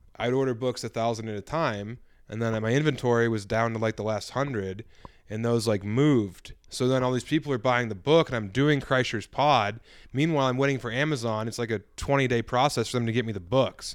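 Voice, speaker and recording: Against a quiet background, a man talks at a fairly quick pace and medium pitch with fairly even intonation, in a normal speaking voice. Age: 30s. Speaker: comedian and novelist. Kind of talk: casual chat.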